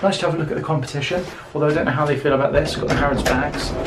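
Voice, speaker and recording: With an English accent, a man talks over noticeable background noise, his pitch varying in an ordinary way amid audible room echo. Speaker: travel vlogger. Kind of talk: casual vlog narration. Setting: outdoors. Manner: chatty.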